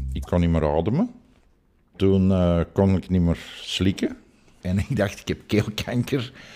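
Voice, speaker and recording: A man with a very deep, low voice and a dark, mellow tone speaks at a fairly slow pace with ordinary pitch variation and long, frequent pauses. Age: 60s. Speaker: chemical plant worker. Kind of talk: testimony. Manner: halting.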